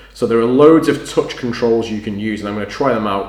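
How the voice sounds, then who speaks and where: There is noticeable background noise as a man talks at a fairly quick pace. His pitch is medium, with ordinary variation. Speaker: tech video creator. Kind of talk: unboxing tutorial. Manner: loud.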